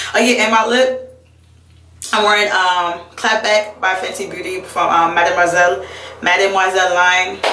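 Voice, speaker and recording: The intonation stays fairly even. Noticeable background noise and audible room echo come through. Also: woman, medium pitch for a woman. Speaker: beauty vlogger. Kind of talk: tutorial. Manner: fast; casual, chatty.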